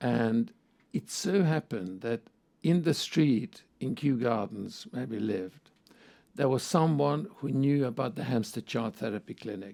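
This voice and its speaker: A man with a Hungarian accent, dark and mellow in tone, medium in pitch, lively in intonation and fairly slow in pace. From Hungary. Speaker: psychoanalyst and professor. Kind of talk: interview.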